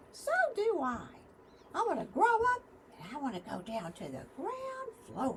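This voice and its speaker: Over clear background noise, a high-pitched, put-on character voice moves at a moderate pace with long, frequent pauses. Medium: read story. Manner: eager, impulsive.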